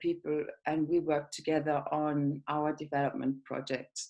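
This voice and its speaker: Speaking fairly slowly with a German accent, a woman has a fairly low pitch in a very clean recording with a silent background. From Germany. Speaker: project manager. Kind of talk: presentation.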